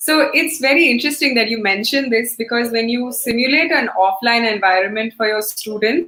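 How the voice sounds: A woman's fairly high, fairly bright voice with ordinary pitch variation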